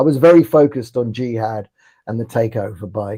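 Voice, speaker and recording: With a dark, mellow tone and lively intonation, a man speaks somewhat breathily at a moderate pace. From London (Ealing), England. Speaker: political commentator. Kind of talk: live interview chat. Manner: halting, repeats words.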